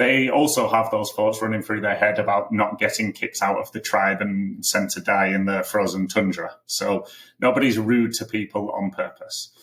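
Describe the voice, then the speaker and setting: A man with a British accent talks with hardly any pauses. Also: moderate pace. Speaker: marketing coach for consultants. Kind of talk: podcast tutorial.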